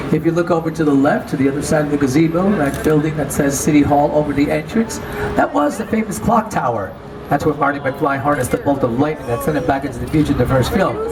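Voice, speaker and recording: A man with an American accent talks at a very fast pace in a fairly high, animated voice with ordinary pitch variation. Room echo is audible and background noise is noticeable. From New York. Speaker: tour guide. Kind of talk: guided tour commentary.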